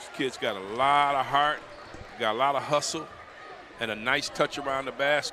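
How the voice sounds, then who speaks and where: A man with an American accent speaks at a fairly high pitch in an animated tone over noticeable background noise. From Detroit. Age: 60s. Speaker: color commentator. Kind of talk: live commentary.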